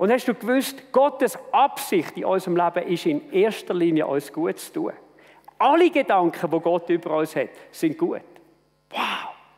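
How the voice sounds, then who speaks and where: Pitch swings very widely in this voice. Delivery is fairly slow. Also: man, high pitch for a man. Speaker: church leader and preacher. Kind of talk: sermon.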